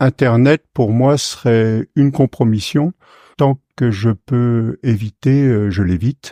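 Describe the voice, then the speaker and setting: A medium-pitched male voice with ordinary pitch variation, dry and close with no echo, in a very clean recording over a silent background. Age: 60s. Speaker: retired forestry worker and poet. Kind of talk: interview testimony. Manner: hesitant, many filler sounds.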